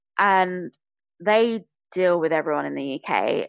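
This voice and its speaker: A woman with a British accent speaks in a fairly low pitch with ordinary pitch variation. The recording is very clean, with a silent background. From England (British Bangladeshi). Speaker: podcaster. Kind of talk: interview conversation.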